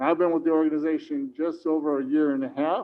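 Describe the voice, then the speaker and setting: A man talks at a moderate pace. He speaks with an American accent. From Chicago, US Midwest. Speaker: market organizer. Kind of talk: public meeting presentation. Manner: mumbling.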